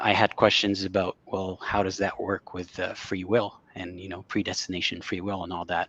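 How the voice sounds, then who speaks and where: A man's very deep, low voice in a flat monotone, at a moderate pace. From Saudi Arabia. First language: Arabic. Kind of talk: interview. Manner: hesitant, many fillers.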